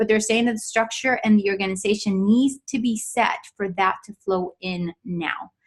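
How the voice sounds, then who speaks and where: Her voice somewhat breathy and fairly high, a woman speaks with ordinary pitch variation. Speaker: intuitive coach / psychic reader. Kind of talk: live psychic reading for viewers. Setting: live webinar / Facebook stream. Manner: fast.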